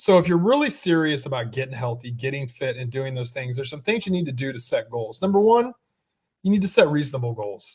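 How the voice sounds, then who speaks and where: Speaking at a fairly quick pace, a man with a somewhat breathy voice makes very wide pitch swings. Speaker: personal trainer and podcast co-host. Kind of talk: casual chat. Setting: gym studio. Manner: slurring S's.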